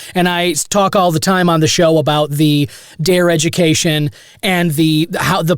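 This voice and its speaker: A man with a fairly high pitch uses an ordinary speaking voice. His pitch varies in an ordinary way. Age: 30s. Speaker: podcast host. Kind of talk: interview.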